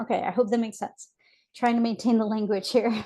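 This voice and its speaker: Against a quiet background, a woman speaks with a dark, mellow tone at fairly high pitch. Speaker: trauma and resilience life coach. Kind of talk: tutorial. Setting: webinar. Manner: fast.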